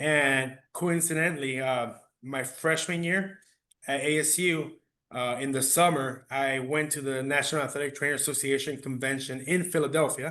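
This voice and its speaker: Against a quiet background, a man with a fairly high voice and a bright, sharp tone speaks at a moderate pace with fairly even intonation. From Phoenix, Arizona (Maryvale barrio), Mexican family. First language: Spanish. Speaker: athletic trainer. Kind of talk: podcast interview.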